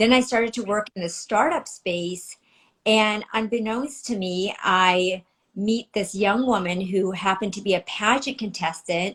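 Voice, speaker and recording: Speaking at a fairly slow pace with a slight Filipino accent, a woman uses a medium pitch with ordinary pitch variation. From United States. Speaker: former news anchor and producer. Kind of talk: interview. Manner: articulate, polished.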